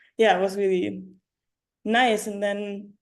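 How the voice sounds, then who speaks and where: Speaking with a German accent, a woman keeps a medium pitch, a moderate pace and a monotone, flat intonation. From Germany. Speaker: yoga teacher and writer. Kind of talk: interview. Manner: halting.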